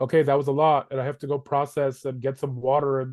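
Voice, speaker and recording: A man with a plain, everyday voice speaks at a fairly quick pace and a fairly high pitch. The sound is dry and close, with no echo. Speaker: housing advocacy educator. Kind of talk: webinar presentation.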